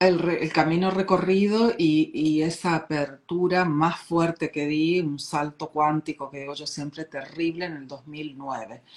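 A woman's very deep, low voice at a fairly slow pace, with fairly even intonation, big swings in loudness and hardly any pauses. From Argentina. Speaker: life coach and author. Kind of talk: interview, casual chat.

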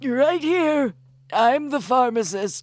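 A high-pitched, put-on character voice on a very clean recording with a silent background. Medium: audio drama.

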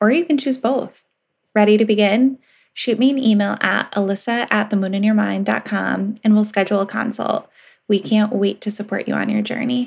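The somewhat breathy voice keeps a moderate pace with ordinary pitch variation. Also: woman. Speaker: podcast co-host. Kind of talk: podcast interview.

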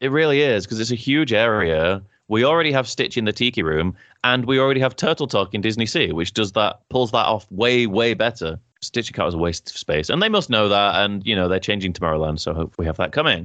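A man with a British accent talks at a fairly quick pace in a fairly low pitch. His intonation is lively and his loudness stays very even. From Britain. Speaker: podcast co-host. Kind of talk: casual chat. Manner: animated, laughs often.

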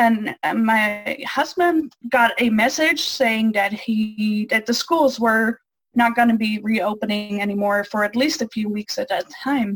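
At a fairly slow pace, a woman speaks in a fairly high, somewhat breathy voice with ordinary pitch variation, the sound dry and close with no echo. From Netherlands. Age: 20s. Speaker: college student. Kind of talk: interview.

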